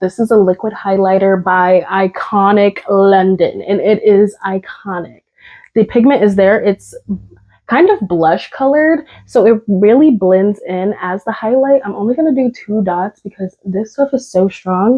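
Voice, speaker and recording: At a fairly slow pace, a plain, everyday voice moves through ordinary pitch variation. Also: woman. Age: 20s. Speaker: beauty content creator. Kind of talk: casual talk to camera. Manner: casual, chatty.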